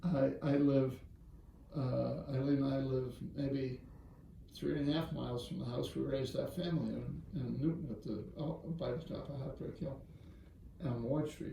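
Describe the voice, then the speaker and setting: A man with an American accent speaks at a medium pitch and a moderate pace, with ordinary pitch variation and long, frequent pauses. Audible room echo and noticeable background noise run through the recording. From Boston area, Massachusetts. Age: 70s. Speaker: business executive and philanthropist. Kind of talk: interview storytelling.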